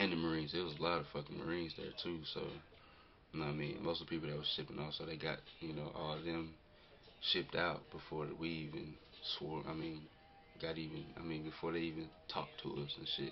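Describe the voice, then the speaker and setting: Speaking at a very fast pace in a very deep, low pitch, a man with an American accent keeps a monotone, flat intonation, with music in the background and audible room echo. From North Carolina. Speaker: vlogger, military enlistee. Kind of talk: casual vlog. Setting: self-recorded camera video. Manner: hesitant, many fillers.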